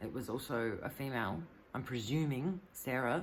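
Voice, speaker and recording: A woman speaks with a very deep, low pitch. Room echo is audible. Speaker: vlogger. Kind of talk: personal video monologue. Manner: halting, stuttering.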